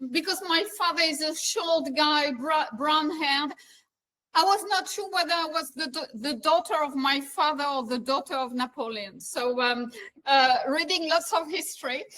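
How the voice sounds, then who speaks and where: The voice is raised and projected, with a bright, sharp tone. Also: woman, high pitch for a woman, ordinary pitch variation, moderate pace. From eastern France. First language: French. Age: 60s. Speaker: business executive. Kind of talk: interview.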